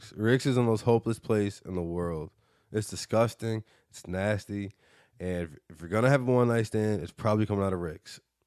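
A man's fairly low voice with ordinary pitch variation, a moderate pace and big swings in loudness, recorded dry and close with no echo over a quiet background. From Michigan, Detroit suburbs. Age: 20s. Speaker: podcast host. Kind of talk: casual chat.

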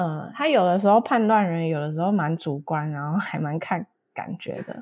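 Recorded very cleanly against a silent background, a woman is speaking. Her pace is moderate and her pitch variation ordinary. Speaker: postdoctoral researcher. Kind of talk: casual interview. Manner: hesitant, many fillers.

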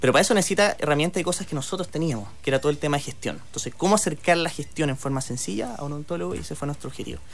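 Very fast pace with lively intonation. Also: man, fairly high pitch for a man. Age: 30s. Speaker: tech entrepreneur. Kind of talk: radio interview.

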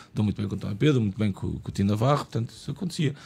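A man's somewhat breathy, medium-pitched voice carries lively intonation. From Lisbon, Portugal (Portela). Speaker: screenwriter. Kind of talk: casual chat.

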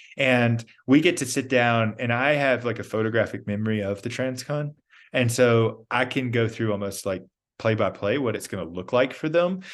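A man with an American accent has an unremarkable speaking voice, medium in pitch with ordinary pitch variation. He speaks at a moderate pace over a quiet background. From US South, Georgia. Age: 30s. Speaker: endurance athlete. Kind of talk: casual chat.

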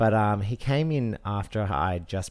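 On a very clean recording with a silent background, a man with an Australian accent speaks with ordinary pitch variation. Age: 30s. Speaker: TV news presenter and podcast co-host. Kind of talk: casual chat. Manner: polished broadcaster delivery.

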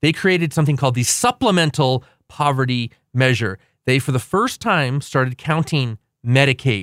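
On a very clean recording with a silent background and a dry, close sound with no echo, a man talks at a moderate pace and medium pitch with ordinary pitch variation in an unremarkable speaking voice. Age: 40s. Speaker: radio co-host and policy commentator. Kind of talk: talk radio show. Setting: radio studio.

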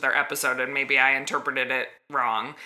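The voice belongs to a woman and has a bright, sharp tone. Her pitch varies in an ordinary way. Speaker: podcast co-host. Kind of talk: casual chat.

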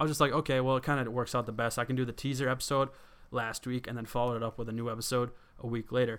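A man's voice comes through a very clean recording with a silent background. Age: 20s. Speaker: podcast host. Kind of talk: casual monologue. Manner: halting, filler-heavy.

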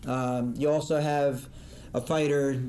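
A man with an American accent speaks very slowly in a fairly high pitch, his tone dark and mellow. His intonation is monotone and flat, and the room echo is audible. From northern New Jersey. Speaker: boxing judge and lawyer. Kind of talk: interview.

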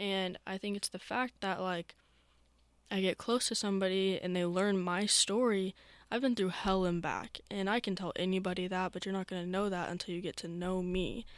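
A woman speaks in a monotone with flat intonation, recorded very cleanly against a silent background. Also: medium pitch for a woman, moderate pace. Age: young. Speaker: student podcast host. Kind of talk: casual chat.

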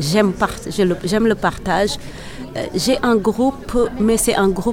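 Music in the background behind a woman's medium-pitched voice, very even in loudness and ordinary in pitch variation. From Senegal. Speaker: kora player and singer. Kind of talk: interview. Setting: event venue. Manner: halting.

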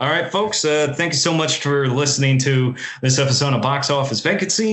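A man with a fairly high-pitched voice talks amid audible room echo. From US, Italian-American family. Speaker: film podcast co-host. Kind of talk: casual chat.

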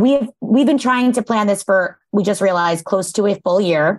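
A woman with an animated tone and lively intonation talks at a medium pitch and a moderate pace. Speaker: podcast co-host. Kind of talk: casual interview chat.

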